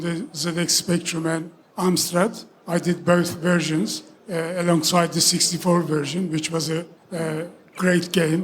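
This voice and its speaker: A man speaks at a fairly slow pace in a high-pitched, monotone voice with flat intonation, over noticeable background noise. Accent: Turkish. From Turkey. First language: Turkish. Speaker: game developer. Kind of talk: stage interview.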